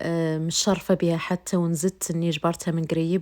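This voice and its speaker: A woman with a Moroccan accent speaks at a fairly low pitch and a moderate pace in a monotone, flat intonation, captured in a very clean recording with a silent background. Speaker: vlogger. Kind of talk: vlog narration. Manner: halting.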